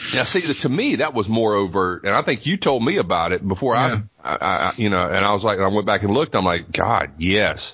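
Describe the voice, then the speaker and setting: An ordinary speaking voice: a man, fairly low in pitch, fairly quick with hardly any pauses, lively intonation and very even loudness. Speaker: wrestling podcast co-host. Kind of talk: casual comedic banter.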